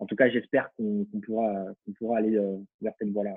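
A man talks at a very fast pace. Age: 30s. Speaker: fashion association co-founder and digital marketing consultant. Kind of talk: casual interview.

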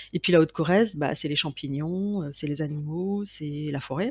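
Fairly slow speech over a quiet background. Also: woman. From Paris suburbs, France. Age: 50s. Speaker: creativity consultant and painter. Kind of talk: interview.

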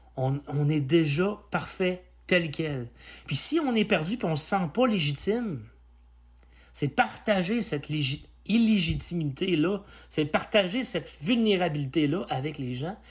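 On a very clean recording with a silent background, a man with a high voice speaks fairly slowly and with lively intonation. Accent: Quebec. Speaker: personal development podcaster. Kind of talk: solo podcast monologue. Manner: halting.

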